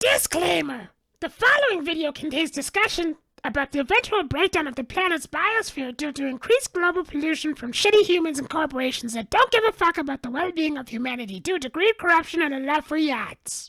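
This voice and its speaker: Fairly quick and high, this cartoonish character voice runs on with hardly any pauses. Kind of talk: comedic educational narration. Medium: puppet. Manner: sarcastic, irreverent.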